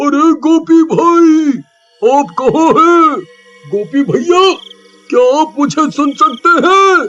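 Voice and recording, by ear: A man does a cartoonish character voice at a very slow pace. Long, frequent pauses break up his speech.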